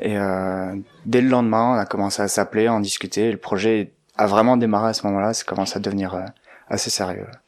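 A man talks very fast in a fairly low voice with monotone, flat intonation. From Belgium. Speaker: architect and ski mountaineer. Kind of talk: storytelling interview.

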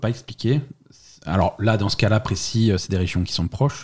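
Pitched fairly low, a man talks at a moderate pace. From France, Alsace. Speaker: podcast guest. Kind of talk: casual chat. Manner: halting, many repetitions.

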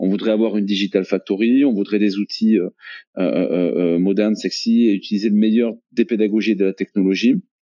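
A normal speaking voice moves at a moderate pace, with fairly even intonation and very even loudness. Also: man, fairly low pitch for a man. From France, Toulouse. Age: 40s. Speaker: entrepreneur, training company CEO. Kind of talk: podcast interview.

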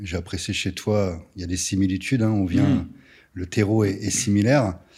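In a dark, mellow tone, a man with a fairly low pitch speaks at a moderate pace. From France, provincial town. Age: 30s. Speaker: entrepreneur. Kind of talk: casual interview.

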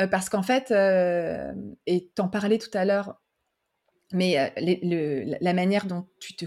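A woman's dark, mellow tone in a very clean recording with a silent background. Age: 40s. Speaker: podcast host and brand consultant. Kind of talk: interview conversation. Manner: casual, with fillers.

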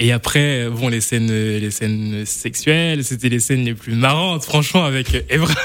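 At a fairly slow pace and with hardly any pauses, the speaker shows ordinary pitch variation, with audible room echo and noticeable background noise. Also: man, medium pitch for a man. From Brittany, France. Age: 20s. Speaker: actor. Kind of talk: radio interview. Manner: halting.

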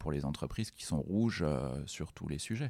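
Speech comes at a moderate pace on a very clean recording with a silent background. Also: man. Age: 40s. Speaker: executive of a large nonprofit group. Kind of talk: interview conversation. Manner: halting, many repetitions and fillers.

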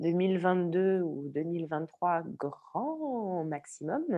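The woman's voice sits at a fairly low pitch. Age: 30s. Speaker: entrepreneur, former film industry worker. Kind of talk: interview. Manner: halting.

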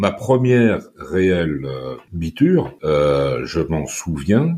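A man speaks with a very deep, low voice and lively intonation. Noticeable background noise runs behind him. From France, Brittany / northern Paris suburbs. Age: 50s. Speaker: former export sales manager, recovering addict. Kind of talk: personal testimony interview.

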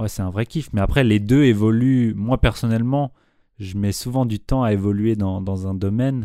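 On a very clean recording with a silent background, a plain, everyday voice keeps a moderate pace and fairly even intonation. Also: man, fairly low pitch for a man. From Switzerland, Nyon. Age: 20s. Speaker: beatmaker and dancer. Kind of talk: casual interview.

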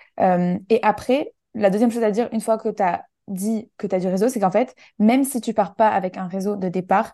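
With a dark, mellow tone and fairly even intonation, a woman speaks at a moderate pace against a quiet background. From southern France, Menton near the Italian border. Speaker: networking and personal branding trainer. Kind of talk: casual interview.

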